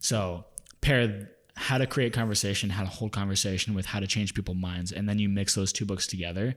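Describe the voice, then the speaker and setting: A fairly low-pitched man with an unremarkable speaking voice, talking fairly quickly with fairly even intonation on a very clean recording with a silent background. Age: 20s. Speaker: podcast host, wedding business owner. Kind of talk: casual chat; scripted outro.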